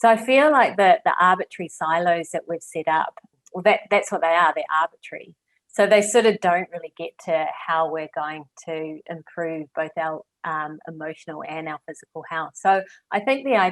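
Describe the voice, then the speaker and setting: A woman at a fairly low pitch with a New Zealand accent, ordinary pitch variation and a moderate pace, in a dry, close sound with no echo. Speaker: clinical psychologist. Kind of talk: interview conversation.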